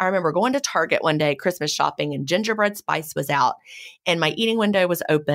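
On a very clean recording with a silent background, a woman talks very fast with a Southern US accent. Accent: southern American. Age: 50s. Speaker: author and podcast host. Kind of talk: interview conversation.

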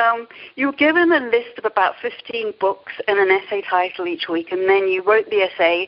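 At a fairly quick pace, a woman speaks with medium pitch.

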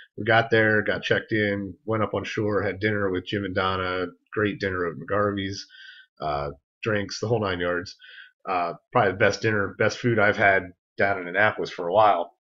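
The speaker has a normal speaking voice with fairly even intonation, recorded against a quiet background. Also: man, fairly low pitch for a man, moderate pace. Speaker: podcast host. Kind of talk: casual podcast storytelling.

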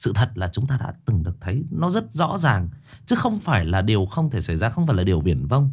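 The voice has vocal fry and very wide pitch swings at a fairly quick pace. The background is quiet. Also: man. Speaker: horror story narrator, live streamer. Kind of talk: story introduction commentary. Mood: earnest, indignant. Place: home room. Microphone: studio mic.

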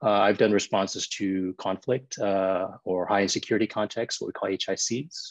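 A man talks at a moderate pace in a normal speaking voice, his pitch fairly low. The background is quiet. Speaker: emergency physician. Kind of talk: panel discussion. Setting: video call.

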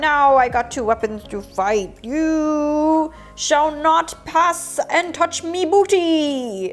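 A high-pitched, put-on character voice at a very slow pace with hardly any pauses. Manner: playful, growly.

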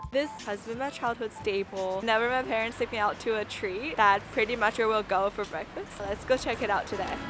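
A woman talks at a fairly quick pace with a fairly high pitch and ordinary pitch variation. Music plays in the background. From China. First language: Chinese. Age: 20s. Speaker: food vlogger. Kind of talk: food tour vlog narration.

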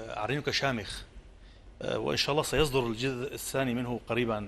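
There's vocal fry as a man speaks at a moderate pace with fairly even intonation over light background noise. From Syria, coastal village. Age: 40s. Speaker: poet. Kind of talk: interview. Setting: outdoor theatre, live broadcast. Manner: halting. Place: studio.

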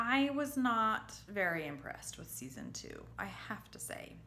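A woman's voice with a bright, sharp tone and lively intonation. Light background noise sits behind her. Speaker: TV review vlogger. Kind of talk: casual vlog chat. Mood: disappointed, animated. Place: home room. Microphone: phone near.

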